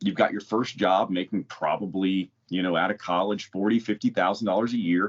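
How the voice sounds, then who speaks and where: With a normal speaking voice, this man talks at a fairly quick pace in a fairly low pitch. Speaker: podcast co-host. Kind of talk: casual podcast chat.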